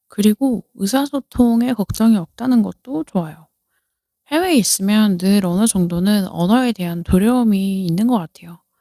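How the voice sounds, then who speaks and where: A woman of medium pitch speaks at a moderate pace with ordinary pitch variation and a dark, mellow tone, in a dry, close sound with no echo on a very clean recording with a silent background. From South Korea. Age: 30s. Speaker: podcaster. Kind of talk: casual chat.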